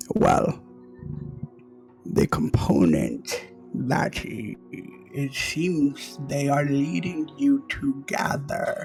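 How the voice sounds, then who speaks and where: Using a put-on character voice with a fairly high pitch, a man speaks at a very slow pace over clear music in the background. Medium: actual play. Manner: calm, explanatory.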